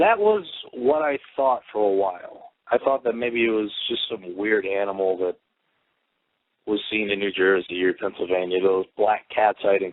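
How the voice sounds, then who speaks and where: A man speaks in an ordinary speaking voice, fairly low in pitch. His pace is moderate and his pitch varies in an ordinary way. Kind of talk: eyewitness account told in a radio interview.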